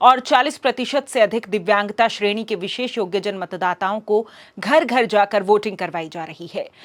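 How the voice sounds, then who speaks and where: Her pitch varying in an ordinary way, a woman speaks in an unremarkable speaking voice. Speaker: news anchor. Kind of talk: news reading. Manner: formal.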